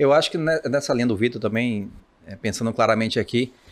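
A plain, everyday voice from a man at medium pitch and a fairly quick pace, on a very clean recording with a silent background. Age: 40s. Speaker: financial market professional. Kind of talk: casual chat.

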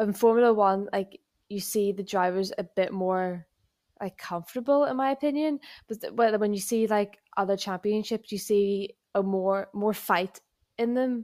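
Recorded very cleanly against a silent background, a woman with an unremarkable speaking voice talks at a medium pitch and a moderate pace, with ordinary pitch variation. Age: 20s. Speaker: motorsport podcast co-host. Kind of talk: casual chat.

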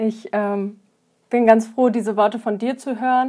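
A woman speaks at a moderate pace, fairly high in pitch and dark and mellow in tone. The recording is very clean, the background silent. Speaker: podcast host and yoga teacher. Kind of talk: interview.

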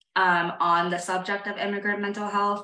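A woman with an American accent, an ordinary speaking voice and a moderate pace. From moved a lot: India, Saudi Arabia, various US states. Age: 30s. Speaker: writer and newsletter founder. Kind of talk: casual interview chat.

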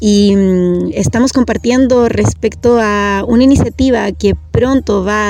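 Background noise is noticeable here. A woman speaks fairly slowly through it. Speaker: radio host. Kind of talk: radio interview. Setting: outdoors. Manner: gentle.

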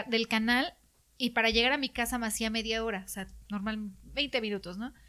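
A woman's bright, sharp voice with a Mexican accent at a moderate pace, on a very clean recording with a silent background. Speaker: TV reporter. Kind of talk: interview.

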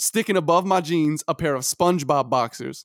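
A man with an American accent has a normal speaking voice, fairly high in pitch with ordinary pitch variation. The sound is dry and close, with no echo. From Brooklyn, New York. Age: 20s. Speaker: podcast co-host. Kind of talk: casual chat.

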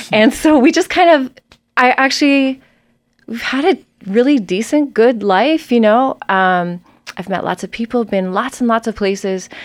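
A bubbly voice with a Canadian accent moves at a moderate pace with lively intonation. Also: woman, fairly high pitch for a woman. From eastern Canada (Maritimes). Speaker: solo parenting podcast co-host. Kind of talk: casual interview. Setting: studio.

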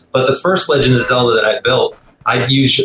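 A man speaks at a fairly quick pace. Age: 40s. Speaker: arcade collector. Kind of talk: casual chat.

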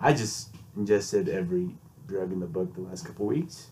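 A man talks with little pitch movement and a nasal quality. His tone is slightly mellow.

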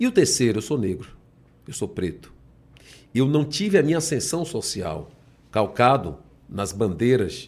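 Vocal fry, very wide pitch swings, a moderate pace and long, frequent pauses. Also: man. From Bahia, Salvador. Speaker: politician. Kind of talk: interview.

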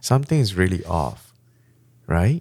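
In a Malaysian accent, a man's voice swings very widely in pitch, heard in a dry, close sound with no echo. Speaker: pastor. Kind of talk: sermon-style teaching in a podcast chat.

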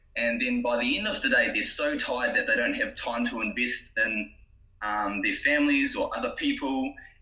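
A man speaks at a moderate pace. There is noticeable noise in the background. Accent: New Zealand. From New Zealand, Gisborne. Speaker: small business founder. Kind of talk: interview.

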